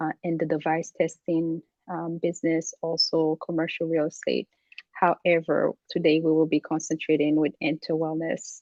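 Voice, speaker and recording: A woman is speaking here. Her pitch is fairly low and her pace moderate. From Haiti. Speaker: executive coach. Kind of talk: interview. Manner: halting.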